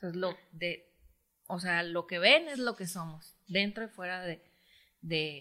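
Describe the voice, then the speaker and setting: Her voice is fairly low for a woman, with a bright, sharp tone. The recording is very clean, the background silent. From Mexico, Michoacán. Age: 40s. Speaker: footballer's wife. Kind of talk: casual family chat.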